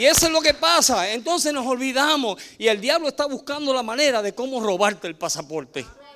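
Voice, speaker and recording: Over noticeable background noise, a man with an extremely high pitch projects his raised voice at a fairly quick pace, with lively intonation and hardly any pauses. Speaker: preacher. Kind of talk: sermon.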